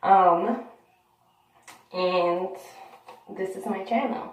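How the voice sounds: A woman with a medium voice and a slightly mellow tone speaks at a very slow pace with ordinary pitch variation, amid strong room echo.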